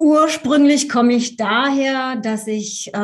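With ordinary pitch variation, the voice proceeds at a very slow pace. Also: woman. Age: 50s. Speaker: Enneagram coach. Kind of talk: interview. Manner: halting.

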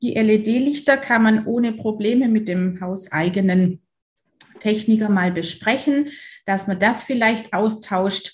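Speaking at a very slow pace, a woman has a fairly high, somewhat breathy voice. Her pitch varies in an ordinary way. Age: 40s. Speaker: dentist. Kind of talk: interview.

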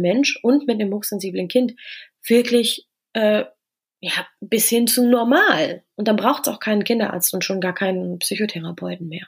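The woman's voice is somewhat breathy and fairly high. Her pace is moderate, with ordinary pitch variation. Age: 30s. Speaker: coach and author on high sensitivity. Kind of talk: podcast interview. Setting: remote recording. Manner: hesitant, many filler sounds.

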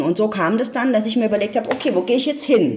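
High-pitched female speech, fairly quick, against noticeable background noise. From Ludwigshafen, Palatinate, Germany. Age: 50s. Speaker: change management expert and speaker. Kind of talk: interview. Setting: at home.

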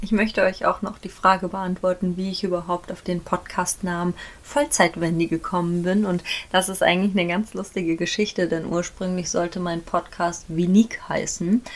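A woman speaks at a moderate pace and medium pitch, her intonation fairly even. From Germany, near Frankfurt am Main. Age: 20s. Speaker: podcaster, equestrian. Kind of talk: casual monologue. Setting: home, dressing room with sheets for acoustics.

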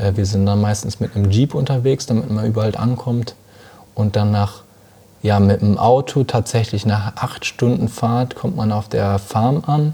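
Noticeable background noise accompanies a man speaking at a fairly slow pace. His voice is fairly low, with ordinary pitch variation. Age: 20s. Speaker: coffee importer and entrepreneur. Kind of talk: interview conversation. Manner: confident, professional.

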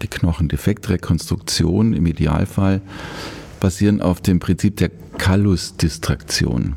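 A man at a very slow pace, with a very deep, low pitch and lively intonation. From Upper Bavaria. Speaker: orthopedic surgeon. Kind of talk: casual interview. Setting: studio.

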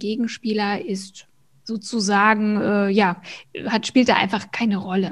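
This woman has an unremarkable speaking voice with a fairly high pitch. She talks at a fairly slow pace. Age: 40s. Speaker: hormone coach and personal trainer. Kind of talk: interview.

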